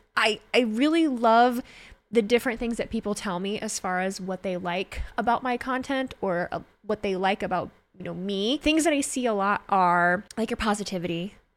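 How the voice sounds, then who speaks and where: A woman with a fairly high pitch and an animated tone, at a moderate pace with ordinary pitch variation, over music in the background. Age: 30s. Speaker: wrestling content creator and streamer. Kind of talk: casual solo podcast monologue. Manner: animated, laughing often.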